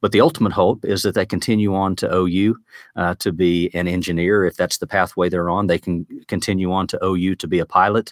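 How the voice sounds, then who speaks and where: A man with a very deep, low pitch and an American accent, at a fairly quick pace with fairly even intonation, in a dry, close sound with no echo. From Oklahoma. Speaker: technical school superintendent. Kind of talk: interview. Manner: frequent fillers and repetitions.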